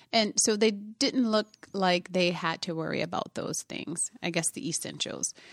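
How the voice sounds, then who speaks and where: A woman at a moderate pace with ordinary pitch variation, in a dry, close sound with no echo. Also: medium pitch for a woman. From Minnesota (Twin Cities), from age ten; born in Indiana. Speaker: tech founder. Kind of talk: interview. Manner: halting.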